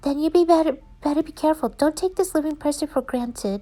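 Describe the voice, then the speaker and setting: A woman puts on a squeaky character voice, high-pitched and very fast. Her pitch varies in an ordinary way. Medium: read story.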